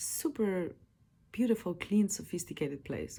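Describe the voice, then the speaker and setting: A woman speaks with a Slavic accent. Her tone is dark and mellow, and somewhat breathy. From Slovenia, village. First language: Slovene. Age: 30s. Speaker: podcaster. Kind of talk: personal monologue. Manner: casual, halting.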